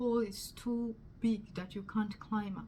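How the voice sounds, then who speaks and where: A woman with a strong Ugandan accent, fairly high in pitch, at a moderate pace. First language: Luganda. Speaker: testimony youtuber. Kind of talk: testimony. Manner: halting.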